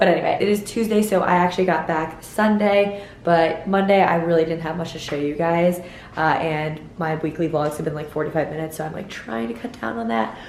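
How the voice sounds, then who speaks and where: Over noticeable background noise and audible room echo, a woman with a fairly low pitch speaks at a fairly quick pace with ordinary pitch variation. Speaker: lifestyle vlogger. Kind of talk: casual vlog talk. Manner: chatty, lots of fillers.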